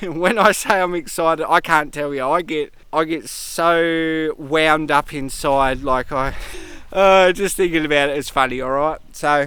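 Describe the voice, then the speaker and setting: A man with an Australian accent speaks loud and at a fairly slow pace. His fairly high voice has a bright, sharp tone and ordinary pitch variation. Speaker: travel vlogger. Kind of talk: vlog talk to camera.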